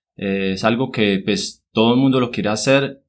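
Fairly even intonation marks this man's speech. The background is silent and the recording very clean. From Colombia, Cartago (Valle del Cauca). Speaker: agronomist and environmental activist. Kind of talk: interview. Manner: hesitant, many fillers (eh, pues) and repetitions.

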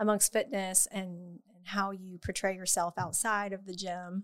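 On a very clean recording with a silent background, a woman speaks in a normal speaking voice at medium pitch and a moderate pace. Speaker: fitness coach, mother. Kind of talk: casual chat.

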